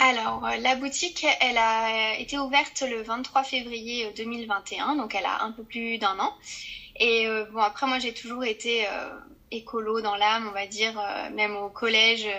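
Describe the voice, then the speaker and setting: The voice has a bright, sharp tone, fairly even intonation, and a fairly slow pace. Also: woman, fairly high pitch for a woman. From France, Corrèze. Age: 30s. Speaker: zero-waste shop owner. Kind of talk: podcast interview.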